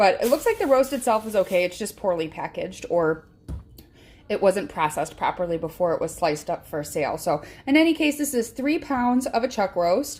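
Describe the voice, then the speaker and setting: A woman with a Chicago accent, fairly high-pitched, swinging very widely in pitch at a fairly quick pace. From Chicago area, US Midwest. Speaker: home cooking vlogger. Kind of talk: cooking tutorial. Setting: home kitchen. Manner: casual, frequent filler words.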